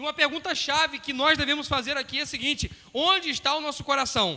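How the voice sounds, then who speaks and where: Extremely high-pitched, a man speaks at a very fast pace in a raised, projected voice with fairly even intonation. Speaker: pastor. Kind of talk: sermon.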